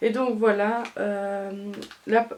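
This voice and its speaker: This is a woman's voice. Her pitch is fairly high. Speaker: beauty vlogger. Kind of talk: product review vlog. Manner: halting, many fillers.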